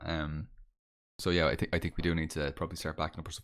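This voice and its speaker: In a very clean recording with a silent background, a man with a Dublin accent talks at a very fast pace. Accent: Dublin Irish. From Ireland, Dublin. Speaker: podcast host. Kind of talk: casual chat. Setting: live stream. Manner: halting, repetitive.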